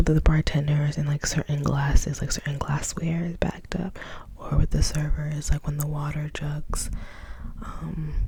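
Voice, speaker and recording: Whispering softly, a woman speaks over noticeable background noise. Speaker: ASMR creator who works as restaurant wait staff. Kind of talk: asmr whisper ramble storytime. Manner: whispered, soft-spoken, rambling, casual.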